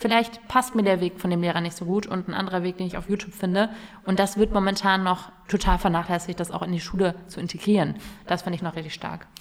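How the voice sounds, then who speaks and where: At a very fast pace, a woman talks with a medium pitch and fairly even intonation. There is noticeable background noise. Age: 20s. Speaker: youth politician. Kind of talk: casual interview. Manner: hesitant, many fillers.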